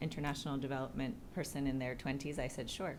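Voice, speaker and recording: An American accent is heard with audible room echo. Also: woman. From United States. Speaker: executive director of a city resilience network. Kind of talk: panel discussion introduction. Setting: live event with audience. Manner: hesitant, many fillers.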